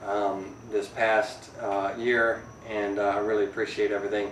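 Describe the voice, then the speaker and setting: Amid audible room echo and noticeable background noise, a man speaks at a fairly slow pace with a fairly low pitch. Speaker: woodworking YouTuber. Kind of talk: casual vlog. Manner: hesitant, many fillers.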